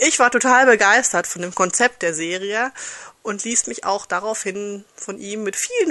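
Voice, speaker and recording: The tone is bright and sharp. Pitch moves with ordinary variation. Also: woman. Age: 30s. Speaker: listener and book reviewer. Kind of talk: pre-recorded book review.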